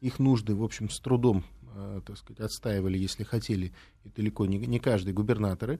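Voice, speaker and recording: A man talks at a fairly quick pace but leaves long, frequent pauses, his somewhat breathy voice dark and mellow in tone. His loudness swings widely on a very clean recording with a silent background. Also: fairly low pitch for a man, fairly even intonation. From Latvia, Riga. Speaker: political scientist and former diplomat. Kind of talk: interview.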